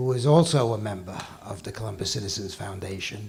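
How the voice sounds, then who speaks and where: A man with a New York accent, noticeable background noise and audible room echo. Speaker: financial executive, award presenter. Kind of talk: award ceremony speech. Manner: halting.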